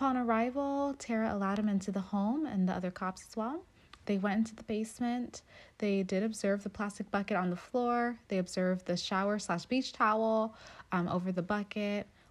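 A woman with a plain, everyday voice, medium pitch, ordinary pitch variation and a fairly quick pace. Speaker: true crime podcast host. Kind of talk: true-crime narration, reading court documents aloud.

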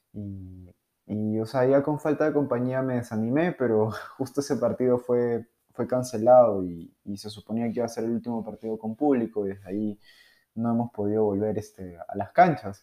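In a Peruvian accent, a man speaks at a medium pitch with a dark, mellow tone and ordinary pitch variation over a quiet background. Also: moderate pace. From Peru, Lima. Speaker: podcaster. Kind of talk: casual monologue. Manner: halting, many fillers.

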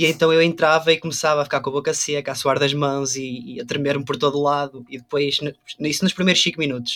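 A man's fairly high, bright, sharp voice at a fairly quick pace with fairly even intonation. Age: 20s. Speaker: photographer and DJ. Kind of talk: casual chat.

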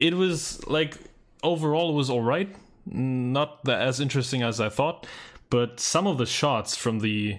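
The speaker has a non-native accent and lively intonation. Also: man. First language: not English. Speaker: movie podcast co-host. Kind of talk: casual chat.

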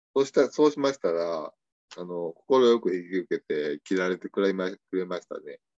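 Speaking in an Osaka accent, a man with a very deep, low pitch keeps a moderate pace and lively intonation, the sound dry and close with no echo. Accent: Osaka Kansai dialect. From Osaka, Japan. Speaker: tanka poet, contest judge. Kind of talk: casual interview chat.

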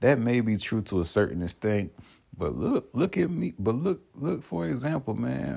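A man's voice carries vocal fry and a dark, mellow tone, swinging very widely in pitch. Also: fairly low pitch for a man, moderate pace. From South Georgia, Columbus/Albany area. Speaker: podcast host. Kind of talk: casual monologue. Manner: animated.

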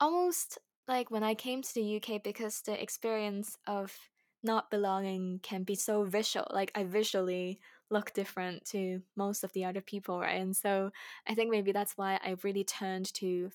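On a very clean recording with a silent background, a woman speaks at a moderate pace and medium pitch in a monotone, flat intonation. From Hong Kong. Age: young. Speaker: singer-songwriter and filmmaker. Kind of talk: casual chat.

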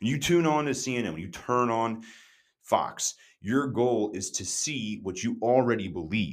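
Speaking at a fairly slow pace, a man uses lively intonation at medium pitch. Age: 20s. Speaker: podcast host. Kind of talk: solo opinion monologue. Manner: casual, hesitant with fillers.

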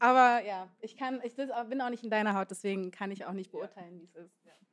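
Here is an unremarkable speaking voice from a woman at medium pitch. She moves at a fairly quick pace with fairly even intonation. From Berlin (Moabit). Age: 20s. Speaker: DJ. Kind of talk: live panel discussion. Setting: stage with audience.

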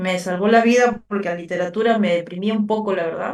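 A woman talks at a moderate pace, her fairly even intonation coming through somewhat breathy. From Peru, Lima. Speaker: writer and actress. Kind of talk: interview.

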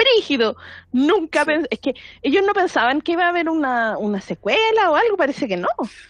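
Speaking fast-ish with very wide pitch swings, a woman with a Chilean accent holds a high pitch. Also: dry, close sound with no echo. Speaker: podcast co-host. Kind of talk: casual chat.

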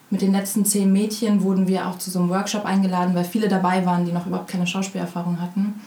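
Woman speaking very fast in a monotone, flat delivery, with noticeable background noise and audible room echo. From Berlin, Germany. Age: 20s. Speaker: actress. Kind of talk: interview.

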